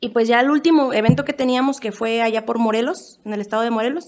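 It is an ordinary speaking voice, and its pitch varies in an ordinary way. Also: woman. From Mexico City. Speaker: band singer. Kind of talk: casual chat.

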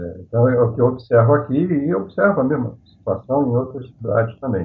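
An unremarkable speaking voice at a moderate pace carries lively intonation. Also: man. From Rio de Janeiro, Brazil. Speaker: activist, IT professional. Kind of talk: panel discussion.

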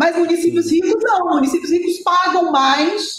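A woman speaks with audible room echo. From Brasília, Brazil. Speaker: municipal finance secretary. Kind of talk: interview.

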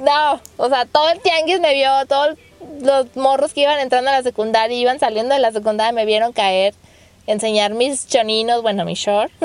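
A woman speaks with a Mexican accent. Her voice is high-pitched and her tone is animated. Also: ordinary pitch variation, moderate pace. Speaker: podcast host. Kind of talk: casual chat.

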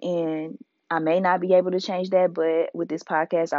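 Woman with fairly even intonation. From Indianapolis, US Midwest. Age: 20s. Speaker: podcast host. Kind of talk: casual monologue.

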